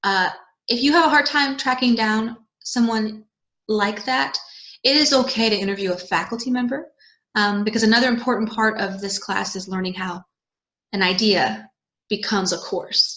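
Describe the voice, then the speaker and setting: A woman at a moderate pace, with ordinary pitch variation and long, frequent pauses. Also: fairly high pitch for a woman. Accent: American. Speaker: college instructor. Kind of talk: recorded video talk to students. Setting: home video recording, parents' house. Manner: casual, chatty.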